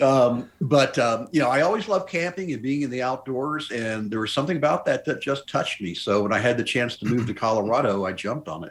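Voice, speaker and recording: Very fast speech from a man at medium pitch, with lively intonation and hardly any pauses. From US South, Memphis, Tennessee. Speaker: mountaineer. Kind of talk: interview.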